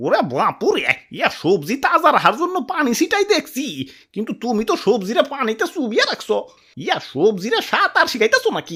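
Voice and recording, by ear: A high-pitched, cartoonish character voice swings very widely in pitch at a moderate pace on a very clean recording with a silent background.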